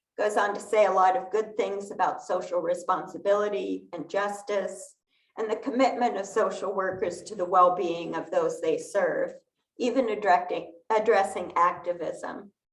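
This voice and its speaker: With audible room echo, a woman speaks at a medium pitch and with fairly even intonation. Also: moderate pace. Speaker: lay worship leader. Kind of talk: sermon. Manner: soft-spoken.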